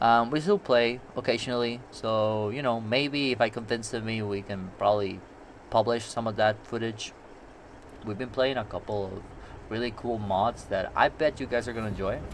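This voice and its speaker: A man with a Puerto Rican accent, medium pitch, fairly even intonation and a moderate pace. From Puerto Rico. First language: Spanish. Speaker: gaming YouTuber. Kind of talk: gameplay commentary. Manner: casual, rambling with fillers.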